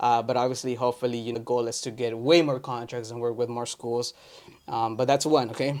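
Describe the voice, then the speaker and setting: Speaking at a fairly quick pace, a man holds a medium pitch in a monotone, flat intonation. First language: Spanish. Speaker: entrepreneur vlogger. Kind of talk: casual vlog update. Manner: casual with many fillers.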